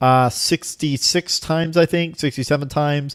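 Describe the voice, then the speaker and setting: This man has a Florida accent and talks at a moderate pace with ordinary pitch variation. The recording is very clean, with a silent background. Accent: American (Florida). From Florida, US (Cuban family). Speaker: language learner, video blogger. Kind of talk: casual vlog monologue. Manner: many fillers and repetitions.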